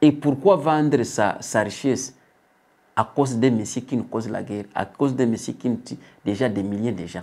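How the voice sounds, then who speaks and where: Moderately paced speech from a man at medium pitch, with a dark, mellow tone and ordinary pitch variation. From DR Congo. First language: not French (speaking French). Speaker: political commentator. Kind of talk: political commentary. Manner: halting.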